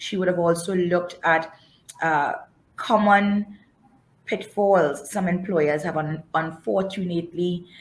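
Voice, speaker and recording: A woman's plain, everyday voice, fairly low in pitch with fairly even intonation. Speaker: webinar host and moderator. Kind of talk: webinar moderation. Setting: online webinar.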